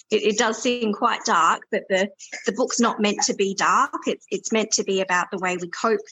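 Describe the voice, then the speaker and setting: With an Australian accent, a woman speaks at a fairly high pitch. Her pace is moderate and her pitch variation ordinary. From South Australia. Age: 30s. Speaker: author. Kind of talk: interview.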